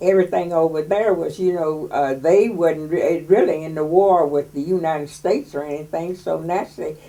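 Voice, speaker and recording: A woman with an unremarkable speaking voice, fairly low pitch and ordinary pitch variation talks at a moderate pace with an American accent. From West Virginia. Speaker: WWII factory worker oral history interviewee. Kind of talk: oral history interview.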